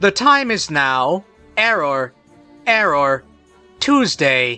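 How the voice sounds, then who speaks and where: A robotic, put-on character voice at a middle pitch moves at a very slow pace with very wide pitch swings, while faint music plays in the background. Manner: monotone with glitching errors.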